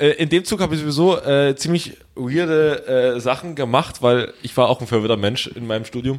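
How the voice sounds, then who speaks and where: With lively intonation at a moderate pace, a man speaks in an unremarkable speaking voice pitched fairly high. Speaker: podcast co-host. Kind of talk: casual chat.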